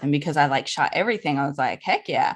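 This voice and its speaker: A woman speaks with a very deep, low pitch and a slight Southern US accent. The background is quiet. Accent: slight Southern drawl. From US South, New Orleans, Louisiana. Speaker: birth photographer. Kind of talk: podcast interview.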